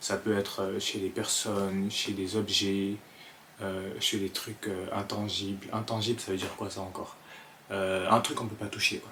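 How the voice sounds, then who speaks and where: A man with an Ivorian accent speaks at a fairly slow pace in a fairly low, monotone and flat voice. Noticeable background noise is present. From Ivory Coast (Abidjan). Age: 20s. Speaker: content creator, vlogger. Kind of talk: casual vlog talk to camera. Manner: hesitant, many fillers and repetitions.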